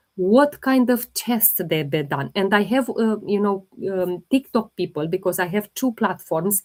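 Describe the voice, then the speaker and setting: Speaking at a fairly slow pace with hardly any pauses, a woman uses lively intonation at a medium pitch. She has a non-native accent. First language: not English. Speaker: holistic health livestreamer. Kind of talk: live Q&A stream.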